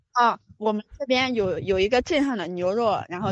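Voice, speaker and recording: A woman speaks in a plain, everyday voice at a medium pitch. Her intonation is lively. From Anhui, Suzhou. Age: 20s. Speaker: caller. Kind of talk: casual chat.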